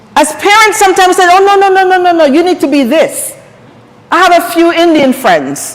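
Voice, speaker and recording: A woman speaks at a moderate pace in an animated tone. Noticeable background noise runs underneath. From Jamaica. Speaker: empowerment coach and speaker. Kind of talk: seminar talk.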